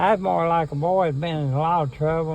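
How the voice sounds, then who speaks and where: The speaker has an Appalachian accent and ordinary pitch variation. Room echo is audible. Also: man. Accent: Appalachian Kentucky. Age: 80s+. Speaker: interviewee. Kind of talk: casual chat. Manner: halting.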